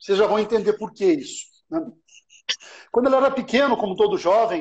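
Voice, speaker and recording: A man's extremely high-pitched voice with lively intonation. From Brazil, São Paulo. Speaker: live stream host. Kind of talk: casual live-stream interview. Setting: online live stream.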